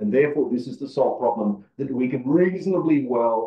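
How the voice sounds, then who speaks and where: A man with an Australian accent speaks at a moderate pace in a medium pitch. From Australia, Perth (Western Australia). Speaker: agronomist, conference presenter. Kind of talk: conference presentation. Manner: halting, many fillers.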